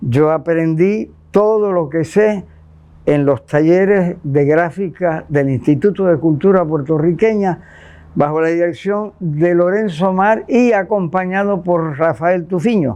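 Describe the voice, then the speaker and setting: A dark, mellow tone at a very slow pace, with ordinary pitch variation and very even loudness. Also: man. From Puerto Rico, Santurce. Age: 80s+. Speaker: visual artist. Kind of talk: interview.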